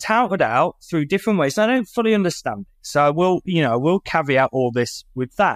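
A man with a British accent talks at a fairly quick pace in a high pitch, with very wide pitch swings. The sound is dry and close with no echo, on a very clean recording with a silent background. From United Kingdom. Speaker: company CEO and marketing agency founder. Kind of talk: casual interview.

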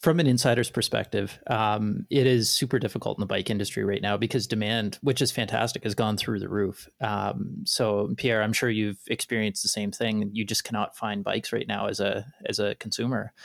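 Vocal fry marks a fairly quick delivery with fairly even intonation and hardly any pauses, in a very clean recording with a silent background. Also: man, fairly low pitch for a man. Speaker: podcast co-host. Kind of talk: casual interview chat.

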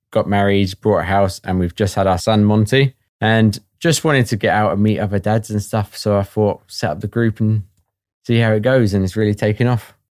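A man with a fairly low pitch speaks at a fairly quick pace in a southern English accent, his intonation fairly even and the sound dry and close with no echo. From southern England (Watford). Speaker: new father, founder of a dads' group. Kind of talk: interview.

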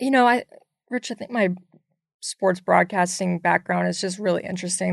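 A woman with an American accent speaks over a quiet background. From US South. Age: 30s. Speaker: basketball analyst. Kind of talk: interview. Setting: studio.

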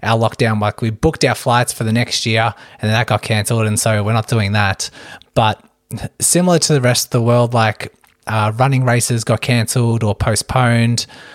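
Speaking with an Australian accent, a man keeps a medium pitch, a moderate pace and fairly even intonation. The sound is dry and close with no echo, on a very clean recording with a silent background. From Australia, Melbourne. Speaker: running physiotherapist and podcast host. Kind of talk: casual interview chat.

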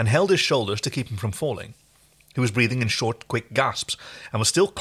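The text is read aloud in a natural voice. Its intonation rises and falls in a lively way.

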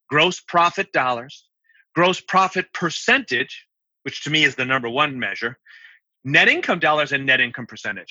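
At a moderate pace, a man talks in an ordinary speaking voice, fairly high in pitch with ordinary pitch variation. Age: 60s. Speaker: accountant and accounting firm CEO. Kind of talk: interview.

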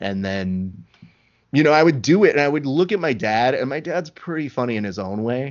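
Using a plain, everyday voice, a man speaks at a fairly quick pace with lively intonation. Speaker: podcast host. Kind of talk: casual interview chat. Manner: joking, sarcastic.

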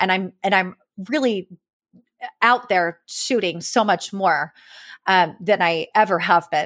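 Very slowly, a woman with an American accent speaks at medium pitch with ordinary pitch variation and very even loudness, on a very clean recording with a silent background and a dry, close sound with no echo. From California. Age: 40s. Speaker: amateur landscape photographer. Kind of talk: casual interview conversation. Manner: halting, many fillers and restarts.

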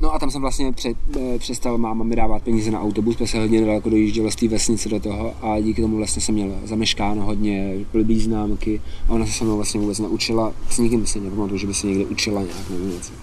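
A man's fairly low voice at a very fast pace, with fairly even intonation, noticeable background noise and audible room echo. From Czech Republic, Prague then South Bohemia. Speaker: rapper. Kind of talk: casual interview storytelling.

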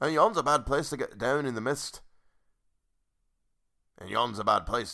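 A man's put-on character voice with vocal fry, a bright, sharp tone, lively intonation and a fairly slow pace. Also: medium pitch for a man.

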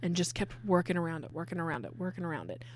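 This woman's voice sits fairly low and shows vocal fry. Her pitch varies in an ordinary way. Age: 20s. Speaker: podcast co-host. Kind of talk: casual chat, improvised storytelling. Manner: fast.

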